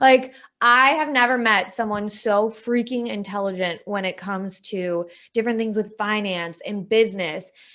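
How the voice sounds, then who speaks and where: A woman with a Wisconsin accent talks at a moderate pace in a fairly high voice. Her tone is animated, bright and sharp. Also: ordinary pitch variation. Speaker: podcast co-host, sales training manager. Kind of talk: casual chat.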